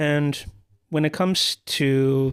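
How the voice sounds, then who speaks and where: Here a man speaks in a monotone, flat intonation. The sound is dry and close with no echo, and the recording is very clean over a silent background. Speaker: YouTuber. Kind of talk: casual vlog monologue. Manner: halting.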